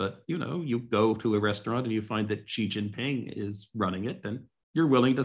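Talking at a fairly quick pace with hardly any pauses, a man with an American accent uses a plain, everyday voice at medium pitch with ordinary pitch variation. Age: 60s. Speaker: economist and author. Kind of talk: webinar discussion.

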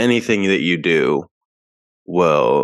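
Vocal fry runs through this man's voice. His speech moves at a fairly slow pace. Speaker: podcast co-host. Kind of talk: podcast discussion.

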